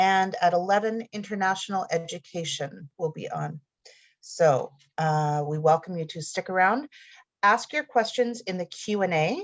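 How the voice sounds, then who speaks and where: With lively intonation, a woman uses an ordinary speaking voice at a medium pitch and a moderate pace. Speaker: college event moderator. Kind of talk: online info session introduction.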